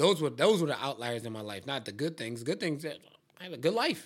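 Lively intonation marks the male speaker on a very clean recording with a silent background. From Philadelphia, Southwest Philly. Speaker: podcast host. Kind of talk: casual chat.

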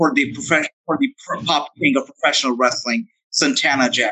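A man's bright, sharp voice moves through very wide pitch swings in a dry, close recording with no echo. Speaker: wrestling podcast host. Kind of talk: interview, casual chat. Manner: enthusiastic, flattering, upbeat.

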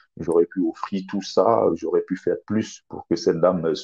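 The recording has a dry, close sound with no echo. A man talks fairly slowly. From Cameroon. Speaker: author. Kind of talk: interview.

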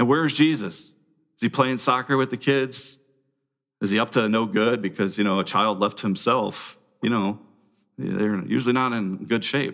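At a moderate speed and with ordinary pitch variation, a normal speaking voice is heard on a very clean recording against a silent background. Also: man, medium pitch for a man. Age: 40s. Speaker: pastor. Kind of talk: sermon.

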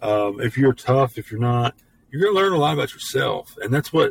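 A man with a Memphis accent, somewhat breathy and medium in pitch, with lively intonation at a fairly quick pace, in a dry, close sound with no echo. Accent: Southern US (Memphis). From US South. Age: 40s. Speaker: podcast host. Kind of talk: casual monologue. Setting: home studio. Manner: halting, many fillers.

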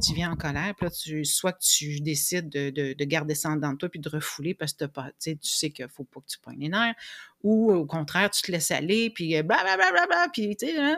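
A woman in a Quebec accent, fairly low in pitch, with big swings in loudness and a dry, close sound with no echo. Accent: Québécois French. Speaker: emotional agility coach. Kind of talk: interview.

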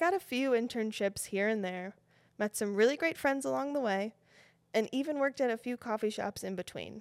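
A woman with a Western New York accent speaks at a fairly quick pace and fairly high pitch with lively intonation, in a dry, close sound with no echo on a very clean recording against a silent background. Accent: Western New York American. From Buffalo, New York. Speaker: fashion designer and podcast host. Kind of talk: scripted podcast intro monologue.

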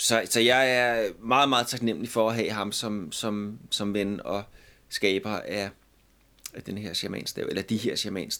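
The voice has a bright, sharp tone and fairly even intonation at a fairly slow pace. The recording is very clean, with a silent background. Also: man, medium pitch for a man. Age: 50s. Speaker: musician. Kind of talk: casual chat.

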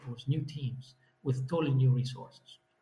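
A man's voice comes out dark and mellow, with a somewhat breathy quality. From Italy. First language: Italian. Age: 40s. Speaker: business executive. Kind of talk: interview.

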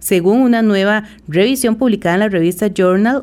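At a moderate pace, a woman with a fairly high pitch and a dark, mellow tone speaks in lively intonation on a very clean recording with a silent background. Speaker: radio host. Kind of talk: radio health show hosting. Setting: radio studio.

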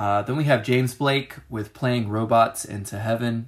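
Somewhat breathy, a man speaks at a fairly slow pace with a medium pitch and ordinary pitch variation. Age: 20s. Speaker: music review podcaster. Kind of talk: solo casual music review. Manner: frequent filler words and hesitations.

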